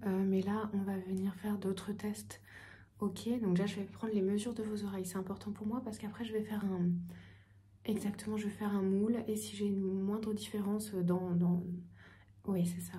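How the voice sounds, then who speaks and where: Over noticeable background noise, a soft-spoken voice moves at a moderate pace with long, frequent pauses. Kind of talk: ASMR roleplay, ENT consultation.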